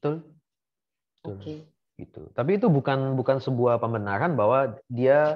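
A man with a medium pitch and ordinary pitch variation speaks with big swings in loudness against a quiet background. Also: fairly quick pace. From Indonesia, Bandar Lampung; Indonesia. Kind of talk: casual interview. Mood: relaxed, good-humoured. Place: home room. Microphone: video call.

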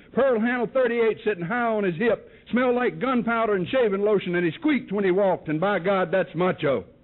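With a Southern US accent, a man talks at a fairly quick pace and high pitch, with ordinary pitch variation, very even loudness and hardly any pauses, over a quiet background. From North Carolina, US South. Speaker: recovery speaker. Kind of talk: testimony. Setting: stage with audience. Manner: animated.

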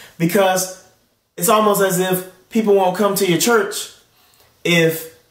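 A man speaks with an American accent in a high pitch. The background is quiet, and there is audible room echo. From Tulsa, United States. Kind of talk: sermon delivery. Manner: earnest, emphatic, persuasive. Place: home room.

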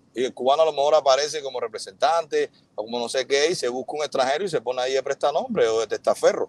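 Talking at a very fast pace, a man comes through with a dry sound and no echo. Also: hardly any pauses. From Cuba. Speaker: influencer and businessman. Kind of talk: live interview, defending himself. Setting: video call, livestream. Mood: earnest, defensive explanation. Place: car. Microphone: earbuds.

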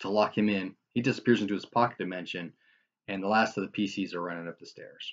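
A quiet background behind plain reading aloud, ordinary pitch variation throughout

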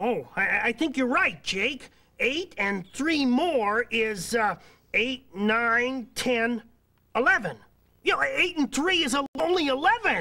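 A female-sounding, cartoonish character voice is pitched fairly high. It moves at a very slow pace. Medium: puppet show. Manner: cheerful, eager, chatty.

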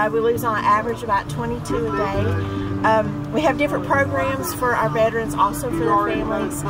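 Over clear background music, a woman talks at a fairly quick pace. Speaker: charity volunteer at a vendor booth. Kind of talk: interview answer. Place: street.

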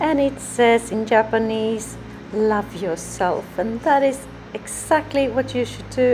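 Speech comes at a very slow pace. Music plays in the background. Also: woman. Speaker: home DIY creator. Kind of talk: room tour narration. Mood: calm, proud. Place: bathroom. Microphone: phone near.

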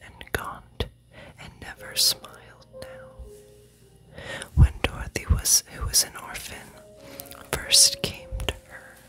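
Whispering at a very slow pace with long, frequent pauses, a woman is heard over music in the background. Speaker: ASMR creator. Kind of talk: read story. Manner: whispered. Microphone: studio mic.

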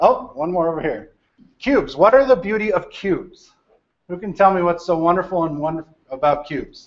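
A man talks loudly at a fairly quick pace. His pitch is high and his intonation lively. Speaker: data architect. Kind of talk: lecture to a university class. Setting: large lecture hall. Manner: loud, projecting. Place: classroom.

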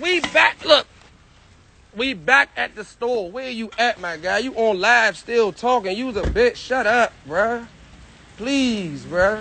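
Loud and high-pitched, a man speaks at a very slow pace, with dry sound, no echo and light background noise. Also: lively intonation. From Maryland / DC area. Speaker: rapper in a feud; live streamer. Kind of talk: heated argument on livestream. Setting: outdoors, livestream. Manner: loud, aggressive.

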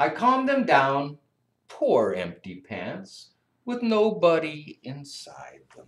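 A man speaks at a very slow pace with very wide pitch swings. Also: big swings in loudness. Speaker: teacher or school staff reading to kids. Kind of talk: story reading to children. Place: classroom. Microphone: webcam.

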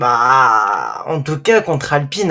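Here is a man with a bright, sharp tone. The background is quiet. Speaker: F1 fan on stream call; streamer. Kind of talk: casual debate. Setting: voice chat. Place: home room. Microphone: studio mic.

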